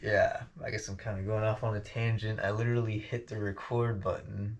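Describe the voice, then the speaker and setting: The speaker has an American accent and sounds somewhat breathy. The intonation stays monotone and flat. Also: man, quiet background. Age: 20s. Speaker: vlogger. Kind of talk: casual monologue vlog. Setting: home basement. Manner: halting, lots of fillers.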